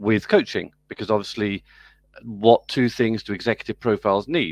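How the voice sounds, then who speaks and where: With an American accent, a man speaks at a fairly low pitch and a fairly quick pace. The sound is dry and close with no echo, and the background is quiet. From UK. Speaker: business school program director and professor. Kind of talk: interview.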